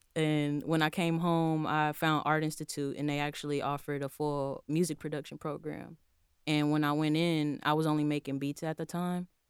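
Monotone, flat speech in an American accent comes at a moderate pace on a very clean recording with a silent background. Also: woman, very deep, low pitch for a woman. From Texas, Houston. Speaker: aspiring mix engineer. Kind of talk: casual interview.

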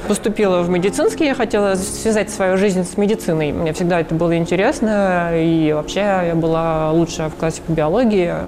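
The speaker keeps a moderate pace with hardly any pauses and ordinary pitch variation. Noticeable background noise runs underneath. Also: woman, fairly low pitch for a woman. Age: 30s. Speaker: transgender woman sharing her experience. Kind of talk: testimony.

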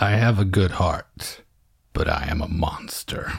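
Putting on a character voice, a man growls out a raspy, very deep, low pitch at a fairly slow pace.

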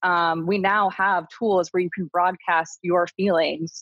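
A woman with fairly low pitch and fairly even intonation has an unremarkable speaking voice. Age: 30s. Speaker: guest. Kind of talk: casual chat. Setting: video call.

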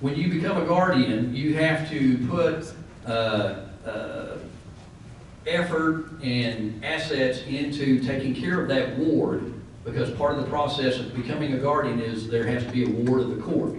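Fairly slow, medium-pitched speech from a man, with ordinary pitch variation and noticeable background noise. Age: 60s. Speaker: professional guardian. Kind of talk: panel discussion. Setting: event room with live audience.

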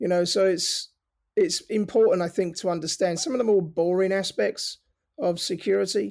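The speaker has a London accent. The pace is moderate. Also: man. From North London, England. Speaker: cybersecurity founder, ex-Navy. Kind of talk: casual interview.

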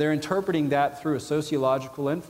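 With an American accent and a fairly high pitch, a man rattles along at a very fast pace, his intonation fairly even. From US South (Georgia). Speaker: biblical counseling professor and pastor, army veteran. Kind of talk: conference lecture. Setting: conference hall with audience.

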